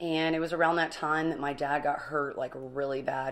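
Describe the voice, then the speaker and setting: Her delivery stays monotone, the intonation flat from start to finish. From Alaska, Kenai Peninsula (Sterling, Ninilchik). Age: 30s. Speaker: person in recovery sharing life story. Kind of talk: interview.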